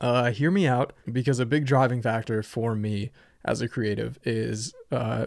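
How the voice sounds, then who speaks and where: On a very clean recording with a silent background, a man talks. His pitch is medium and his pace moderate. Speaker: podcast host and comedian. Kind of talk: podcast intro monologue. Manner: casual, filler-heavy.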